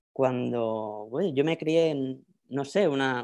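A man with a Madrid accent and ordinary pitch variation, against a quiet background. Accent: Spanish from Spain (Madrid). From Spain, Madrid. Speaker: academic researcher; panelist. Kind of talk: lecture. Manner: halting, with fillers and repetitions. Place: home room. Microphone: earbuds.

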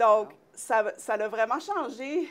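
A woman's fairly high-pitched voice with lively intonation. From Quebec. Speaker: TV talk show host. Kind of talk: casual interview. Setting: studio. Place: studio. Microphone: lapel.

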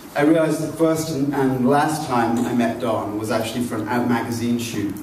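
A man speaks at a moderate pace with ordinary pitch variation. Audible room echo and light background noise surround his voice. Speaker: magazine editor. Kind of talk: event introduction and moderation. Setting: public event at a library. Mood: light, anecdotal. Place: hall.

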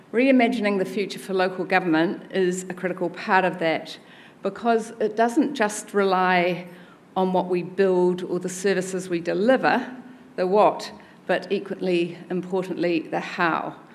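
Speaking with ordinary pitch variation, a woman keeps to a moderate pace. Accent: New Zealand. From New Zealand. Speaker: chief executive of a local government body; conference speaker. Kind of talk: conference speech. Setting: stage with audience. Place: hall. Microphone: podium.

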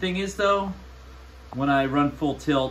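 A man speaks at a fairly slow pace with fairly even intonation, and the room echo is audible.

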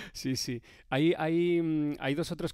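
In a dry sound with no echo and a quiet background, a man speaks with ordinary pitch variation. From Spain. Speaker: motorsport presenter and streamer; presenter, streamer. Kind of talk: live-stream interview. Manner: animated. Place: home room. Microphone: headset.

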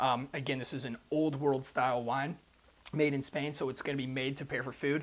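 With monotone, flat intonation, a man speaks at a fairly quick pace. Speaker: presenter. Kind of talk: wine review chat. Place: shop. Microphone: lapel.

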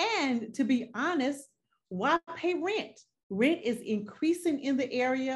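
A woman with a Southern US accent talks very slowly in a somewhat breathy voice with lively intonation. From North Carolina. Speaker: real estate agent; guest. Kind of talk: interview. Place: home room. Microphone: video call.

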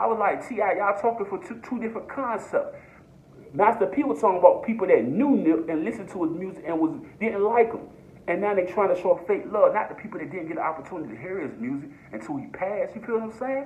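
A man speaks at a very fast pace in a high pitch, his animated tone marked by lively intonation and big swings in loudness. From Norfolk, Virginia; Virginia. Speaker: YouTuber, commentator. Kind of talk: casual vlog commentary. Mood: earnest, passionate. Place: home room. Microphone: phone near.

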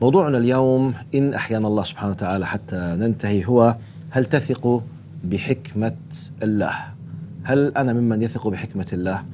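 A man speaks at a fairly slow pace with ordinary pitch variation and a dark, mellow tone. Light background noise is audible. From Jordan. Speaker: religious youth-show host, preacher. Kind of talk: religious youth discussion. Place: studio. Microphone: lapel.

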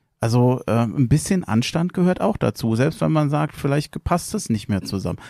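In a very clean recording with a silent background, a man speaks in a dark, mellow tone with very wide pitch swings and a dry, close sound with no echo. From Berlin (Tempelhof). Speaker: podcast host. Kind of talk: casual chat.

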